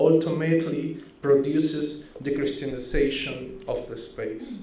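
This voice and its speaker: Speaking very slowly with a Spanish accent, a man uses a fairly high pitch and fairly even intonation, with audible room echo around him. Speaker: researcher. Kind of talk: conference presentation. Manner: halting, self-correcting.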